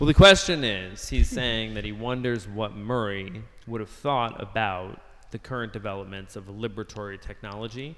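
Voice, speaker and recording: A man with an American accent speaks at a fairly low pitch, his loudness swinging widely. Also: ordinary pitch variation. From US, Washington DC. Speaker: podcast host. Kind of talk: interview discussion. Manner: fast.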